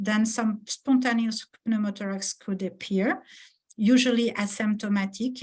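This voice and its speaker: Her voice somewhat breathy, a woman speaks at a fairly slow pace with fairly even intonation. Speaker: pediatric oncologist. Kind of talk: research presentation. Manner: halting, many hesitations.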